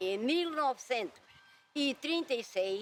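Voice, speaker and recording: At a very slow pace, a woman speaks in a high pitch with very wide pitch swings. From Portugal, Alentejo (Évora area). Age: 80s+. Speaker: retired farm worker. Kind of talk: oral history interview.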